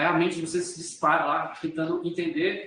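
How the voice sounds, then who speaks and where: His pitch shifts in an ordinary way. The speaker is a man. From Brazil, Rio de Janeiro. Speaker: law professor. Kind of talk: lecture. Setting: recorded video class. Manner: varied pace and pitch.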